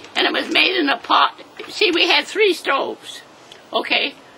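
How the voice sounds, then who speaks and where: A woman at a moderate pace with very wide pitch swings, over noticeable background noise. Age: 80s+. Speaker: centenarian interviewee. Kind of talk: casual chat. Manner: halting.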